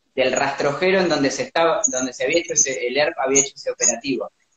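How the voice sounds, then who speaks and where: His intonation lively, a man speaks with fairly high pitch. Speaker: documentary film director. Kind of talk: interview. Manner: halting.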